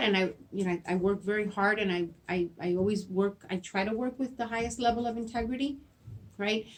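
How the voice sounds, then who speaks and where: Speaking with a Spanish accent, a woman keeps her intonation fairly even. Her pitch sits in the medium range. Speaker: school principal. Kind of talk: interview. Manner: halting, repeats words.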